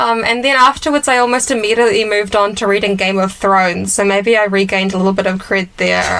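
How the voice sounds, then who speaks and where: With a New Zealand accent, a woman talks at a fairly quick pace and medium pitch. Her pitch varies in an ordinary way over noticeable background noise. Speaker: podcast co-host. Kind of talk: casual chat.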